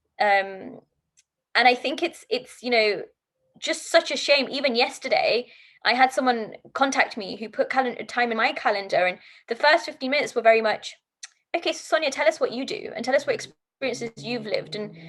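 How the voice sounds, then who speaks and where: With a British accent, a woman speaks at a fairly quick pace in a high voice, her intonation lively and her loudness swinging widely. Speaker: diversity and inclusion coach, entrepreneur. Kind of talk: podcast interview. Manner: animated.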